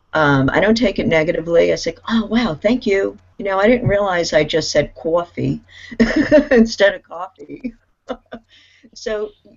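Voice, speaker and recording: A woman with an American accent talks at a moderate pace, her voice showing vocal fry. Her pitch makes very wide swings. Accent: Brooklyn accent, sometimes heavy. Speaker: panelist in online discussion. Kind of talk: casual group discussion.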